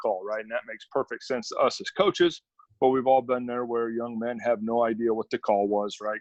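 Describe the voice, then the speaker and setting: A man speaks with an Upper Midwest accent at a medium pitch. His pace is fairly quick. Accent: Upper Midwest American. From central Wisconsin, Stevens Point. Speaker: college football defensive coordinator. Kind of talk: coaching clinic presentation. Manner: fast.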